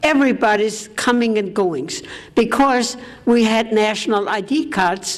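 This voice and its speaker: A woman at a fairly high pitch with lively intonation, a moderate pace and noticeable background noise. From Austria. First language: German. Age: 80s+. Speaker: war survivor speaker. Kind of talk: testimony.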